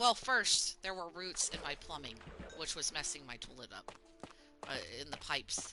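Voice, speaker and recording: Against music in the background, a woman with an American accent swings her pitch very widely and leaves long, frequent pauses. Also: fairly low pitch for a woman, moderate pace, big swings in loudness. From US South. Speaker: gaming streamer. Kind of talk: casual gameplay commentary. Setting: live stream. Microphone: choppy audio from internet problems.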